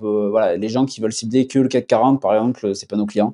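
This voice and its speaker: A man speaks in a monotone with flat intonation, at a fairly slow pace and a fairly low pitch, with a dry, close sound, no echo and a quiet background. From southwestern France. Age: 20s. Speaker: growth marketer and agency founder. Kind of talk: interview. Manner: casual, with many fillers.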